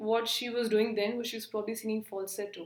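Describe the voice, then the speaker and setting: A woman is speaking. Her pitch sits fairly high. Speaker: vlogger. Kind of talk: personal vlog monologue. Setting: outdoors in the sun.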